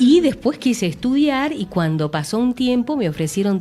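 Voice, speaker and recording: Music plays in the background as a woman speaks at a fairly slow pace. Her pitch swings very widely. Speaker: radio announcer. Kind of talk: interview answer.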